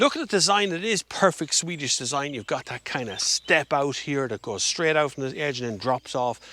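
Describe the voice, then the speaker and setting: In an Irish accent, a man speaks at a fairly quick pace with hardly any pauses, his fairly high voice animated and his intonation lively, the sound dry and close with no echo. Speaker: car reviewer. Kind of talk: car review walkaround.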